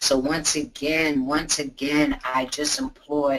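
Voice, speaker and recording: A woman speaks in a New York accent with an animated tone. Noticeable background noise runs behind her. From New York City, Brooklyn. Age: 60s. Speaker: patient advocate. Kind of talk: testimony. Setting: webinar.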